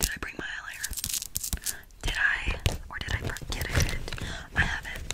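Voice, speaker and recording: A woman whispers in a soft-spoken way at a moderate pace. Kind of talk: soft roleplay chat. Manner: soft questioning whisper. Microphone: phone near.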